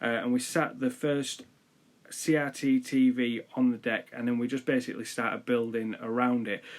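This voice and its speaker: Over a silent background in a very clean recording, a man talks at a fairly quick pace with fairly even intonation. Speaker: DIY maker. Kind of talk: video voiceover narration. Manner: monotone.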